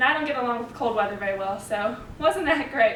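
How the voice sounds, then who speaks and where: A woman with an East Texas accent talks at a fairly quick pace in a high pitch with lively intonation. Audible room echo and noticeable background noise are present. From Texas (Tyler, East Texas). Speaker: college student. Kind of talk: class presentation speech. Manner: casual, conversational.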